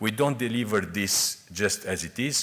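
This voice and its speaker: A male voice with ordinary pitch variation. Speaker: EU official presenting on interoperability. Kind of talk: conference presentation. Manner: fast.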